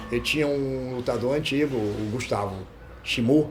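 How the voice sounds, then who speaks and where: Lively intonation from a man, with noticeable background noise behind him. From Brazil, Rio de Janeiro south zone. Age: 70s. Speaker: martial arts fighter and coach. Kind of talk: interview.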